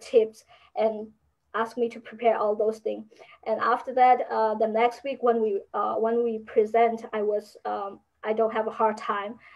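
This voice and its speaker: With a Burmese accent, a woman speaks at a moderate pace in a fairly high pitch. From Burma. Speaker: university student. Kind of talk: interview. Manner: halting.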